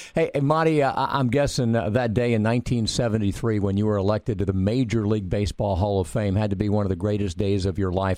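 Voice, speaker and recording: A plain, everyday voice moves at a fairly quick pace with hardly any pauses, ordinary pitch variation and very even loudness. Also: man. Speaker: radio host. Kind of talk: radio interview, casual chat.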